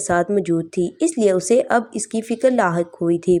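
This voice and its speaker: A woman speaks with lively intonation. Her medium-pitched voice has a dark, mellow tone. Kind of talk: romance novel story narration.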